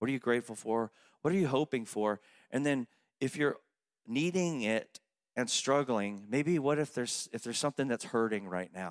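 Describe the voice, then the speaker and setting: In a plain, everyday voice, a man talks at a medium pitch and moderate pace with lively intonation. The sound is dry and close with no echo, on a very clean recording with a silent background. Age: 50s. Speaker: pastor. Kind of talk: sermon.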